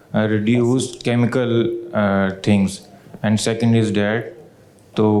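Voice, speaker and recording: Noticeable background noise sits behind this recording. A man talks at a fairly slow pace with a fairly low pitch. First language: not English. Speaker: audience member asking question, electrical engineer. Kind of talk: audience question. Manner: halting.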